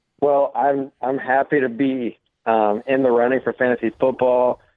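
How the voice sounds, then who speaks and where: Fairly even intonation in a plain, everyday voice. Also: man. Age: 20s. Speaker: college student. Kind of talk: casual chat. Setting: phone call.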